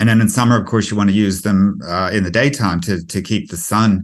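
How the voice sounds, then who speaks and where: A man with a North American accent has an unremarkable speaking voice, fairly low in pitch with ordinary pitch variation. The background is quiet. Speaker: home energy efficiency advisor. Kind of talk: webinar presentation. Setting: online webinar. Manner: casual, with many fillers.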